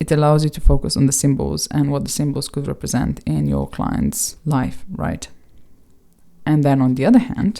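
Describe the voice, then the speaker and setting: A woman is speaking. She has a non-native accent. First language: not English. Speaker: tarot reader and video creator. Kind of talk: casual video monologue. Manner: halting.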